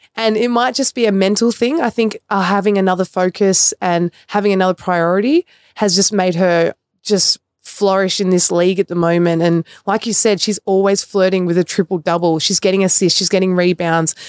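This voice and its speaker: At a fairly quick pace, a woman of medium pitch speaks with fairly even intonation and very even loudness, in a dry, close sound with no echo on a very clean recording with a silent background. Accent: Australian. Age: 20s. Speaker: professional basketball player. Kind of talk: casual sports chat.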